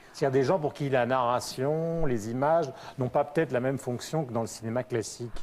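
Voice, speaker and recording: Here a man talks in a normal speaking voice at medium pitch. His pace is fairly quick and his intonation fairly even. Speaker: TV talk show host. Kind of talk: TV interview questions.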